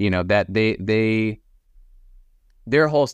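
A man's plain, everyday voice with an American accent, fairly low in pitch, lively in intonation, at a moderate pace over a quiet background. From Texas, Austin. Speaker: filmmaker and actor. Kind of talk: casual interview.

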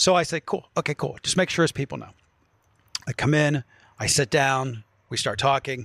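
At a moderate pace, a man talks with ordinary pitch variation in a dry, close sound with no echo. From West Virginia, northern panhandle (Wheeling area). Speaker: radio host. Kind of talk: casual chat. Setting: studio. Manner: loud.

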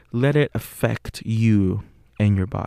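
In a Spanish accent, a man speaks with a fairly low pitch, a dark, mellow tone and fairly even intonation. The recording is very clean, dry and close, with a silent background and no echo. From Puerto Rico. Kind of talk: casual monologue; guided visualization.

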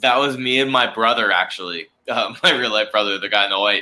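A man with an American accent speaks at a moderate pace and medium pitch. His tone is bright and sharp, with ordinary pitch variation. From US South, Charleston, South Carolina. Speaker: actor. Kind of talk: casual chat.

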